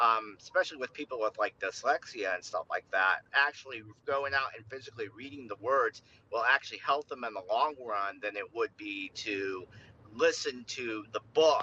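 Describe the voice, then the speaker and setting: The sound is dry and close, with no echo. The speech moves at a moderate pace with big swings in loudness. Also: man. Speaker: author, caller. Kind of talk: casual chat. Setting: driving in a car, phone call.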